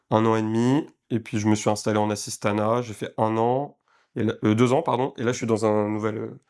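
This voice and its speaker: A man at medium pitch and moderate pace, monotone and flat, on a very clean recording with a silent background. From France. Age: 20s. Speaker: sports physiotherapist. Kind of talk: casual chat. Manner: hesitant, many fillers.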